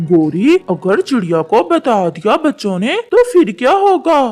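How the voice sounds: A cartoonish character voice, fairly high in pitch, moves at a fairly slow pace with very wide pitch swings. Faint music plays in the background.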